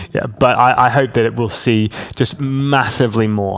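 Clear noise runs in the background. The pitch stays mostly level. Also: man. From southern England (Hampshire), teens in Hong Kong. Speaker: pastor. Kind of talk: interview.

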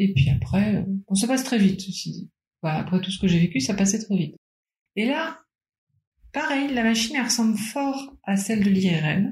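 At a moderate pace, a woman speaks with a somewhat breathy voice and medium pitch. Her pitch swings very widely, and she leaves long, frequent pauses. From Paris, France. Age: 30s. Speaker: cancer survivor. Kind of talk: testimony.

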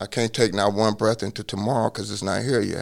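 Medium-pitched male speech at a fairly quick pace. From US Midwest, Cincinnati. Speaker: lawyer and law professor. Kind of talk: interview testimony.

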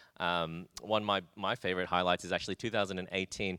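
Recorded very cleanly against a silent background, with a dry, close sound and no echo, a man with an Australian accent talks at a fairly quick pace, his very deep, low voice bright and sharp in tone with fairly even intonation. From Australia, Brisbane. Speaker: pastor. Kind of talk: interview.

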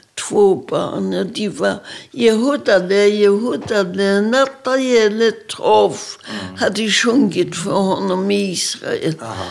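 Against noticeable background noise, a woman talks very slowly with hardly any pauses. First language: Polish (speaking Swedish). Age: 80s+. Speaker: Holocaust survivor. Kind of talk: testimony.

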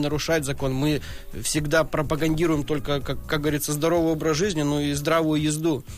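A man speaks in an ordinary speaking voice at a moderate pace. His pitch is fairly high. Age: 30s. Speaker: professional drift racer. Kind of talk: podcast interview. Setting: studio.

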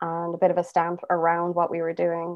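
A woman with an Irish accent at a moderate pace. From Ireland. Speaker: singer and bassist. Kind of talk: interview conversation.

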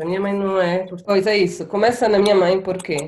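Here a woman talks at a very fast pace. Her pitch sits in the medium range. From Angola. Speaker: guest. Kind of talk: casual chat.

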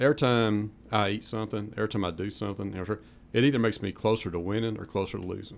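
At a very fast pace, a man with a Southern US accent speaks at a fairly low pitch and with fairly even intonation. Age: 50s. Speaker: powerlifter. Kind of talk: radio interview. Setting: radio studio.

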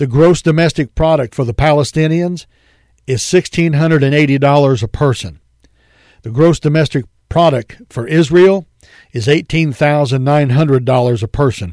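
This man has a normal speaking voice, fairly high for a man, with ordinary pitch variation and a moderate pace, recorded with a dry, close sound and no echo. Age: 50s. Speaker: radio pastor and Bible teacher. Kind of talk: radio sermon. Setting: radio studio.

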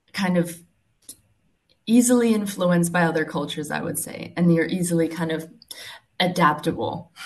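Somewhat breathy, a woman with a fairly low pitch and ordinary pitch variation speaks at a moderate pace, leaving long, frequent pauses. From Czech Republic and US. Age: 20s. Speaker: professional tennis player. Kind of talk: interview. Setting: remote call.

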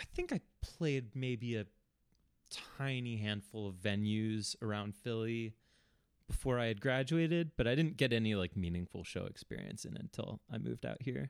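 A man speaks in a normal speaking voice at a moderate pace, medium in pitch with ordinary pitch variation, and the sound is dry and close with no echo. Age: 30s. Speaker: musician and music teacher. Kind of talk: casual interview chat.

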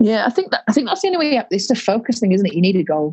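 Somewhat breathy, a woman is talking. She has a Yorkshire accent. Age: 30s. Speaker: rugby league player and teacher. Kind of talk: casual interview. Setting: video call.

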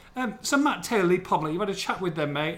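A man races along at a very fast pace, his intonation lively, with noticeable background noise in the mix. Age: 40s. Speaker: football podcast host. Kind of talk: casual chat.

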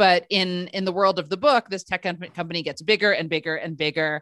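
A woman with a normal speaking voice and an American accent talks at a fairly quick pace, with a fairly low pitch, ordinary pitch variation, and a dry, close sound with no echo. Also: quiet background. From Oklahoma and Seattle, US. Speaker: novelist and former journalist. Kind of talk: casual interview.

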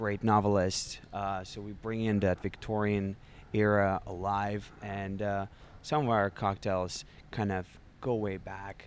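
A man with a Russian accent, fairly low in pitch, fairly slow, with monotone, flat intonation. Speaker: bartender. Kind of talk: interview. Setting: bar. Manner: halting.

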